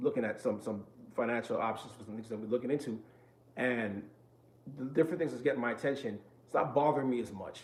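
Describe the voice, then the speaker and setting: A man at a medium pitch, fairly quick pace and ordinary pitch variation, with noticeable background noise. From New York. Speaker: vlogger sharing mental health experience. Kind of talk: casual vlog talk to viewers. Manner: fast-talking.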